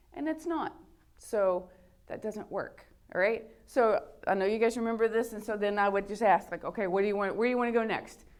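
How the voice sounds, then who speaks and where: A woman talks at a fairly quick pace in an ordinary speaking voice. Her pitch is fairly high with ordinary variation. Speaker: high school math teacher. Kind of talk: lecture.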